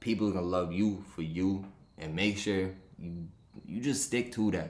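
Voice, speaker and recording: A man with a Rhode Island accent speaks at a fairly slow pace in a fairly low pitch. There is audible room echo. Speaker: sports betting podcaster. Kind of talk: casual podcast monologue. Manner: animated.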